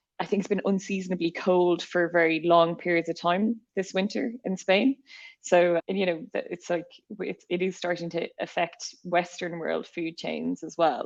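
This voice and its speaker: A woman speaks with an Irish accent and fairly even intonation. The background is quiet. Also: fairly low pitch for a woman, moderate pace. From Ireland. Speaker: podcast host, company CEO. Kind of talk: podcast interview.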